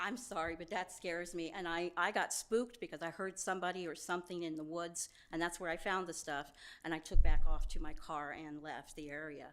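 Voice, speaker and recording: A woman with an unremarkable speaking voice talks fairly quickly at a fairly low pitch with fairly even intonation. The recording is very clean, with a silent background. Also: big swings in loudness. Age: 60s. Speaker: public commenter. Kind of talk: public comment at council meeting. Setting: city council meeting.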